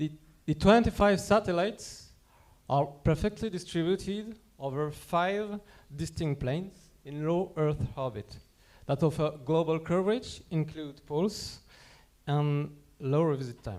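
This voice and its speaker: With a French accent, a man speaks at a fairly high pitch and a fairly slow pace. He pauses long and often, with ordinary pitch variation. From France. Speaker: company representative presenting at a conference. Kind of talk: conference presentation.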